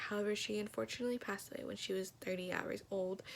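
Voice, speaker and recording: Talking at a very fast pace, a woman uses an American accent at medium pitch. Noticeable background noise runs underneath. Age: 20s. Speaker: college student. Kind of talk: self-introduction video. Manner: casual, chatty with fillers.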